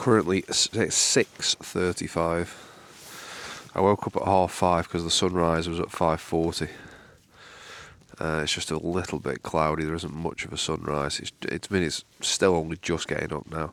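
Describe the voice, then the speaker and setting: A man speaks quietly at a moderate pace, his pitch very deep and low. He has a Manchester accent and a fairly even intonation. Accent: northern English (Mancunian). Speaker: outdoor vlogger. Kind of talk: casual vlog talk to camera. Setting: outdoors at a wild camp in the morning. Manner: speaking quietly.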